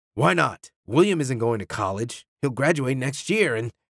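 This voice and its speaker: A man's put-on character voice, raspy and mid-pitched, with lively intonation at a moderate pace, on a very clean recording with a silent background. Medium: read story. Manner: curt, defensive.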